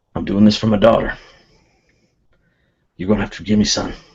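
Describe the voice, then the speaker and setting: A man puts on a gruff character voice, fairly low in pitch. He talks very fast. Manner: regretful, apologetic.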